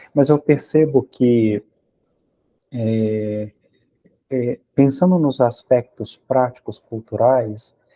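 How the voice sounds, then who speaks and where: Dry and close with no echo, a man's dark, mellow voice carries a Brazilian accent and fairly even intonation. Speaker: psychoanalysis teacher. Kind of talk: academic discussion. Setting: video call.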